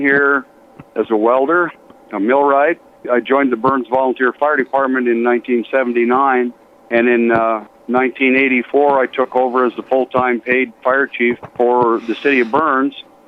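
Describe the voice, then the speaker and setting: Here a man with a normal speaking voice and an American accent talks at a moderate pace and medium pitch. His loudness is very even and his intonation fairly even. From Colorado, US. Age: 60s. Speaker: retired fire chief. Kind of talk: interview. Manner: polite and plain-spoken.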